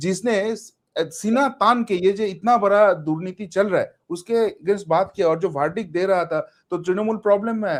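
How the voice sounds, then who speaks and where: A man with a non-native accent speaks at a high pitch with ordinary pitch variation. The recording is very clean, with a silent background. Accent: non-native Hindi. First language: Bengali (speaking Hindi). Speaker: political commentator. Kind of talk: interview.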